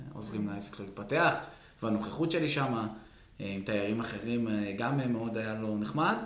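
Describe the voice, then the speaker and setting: Noticeable background noise and audible room echo surround a man who speaks at a moderate pace and a medium pitch, with ordinary pitch variation and long, frequent pauses. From Israel, West Bank settlement. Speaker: surf club business owner. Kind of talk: interview storytelling.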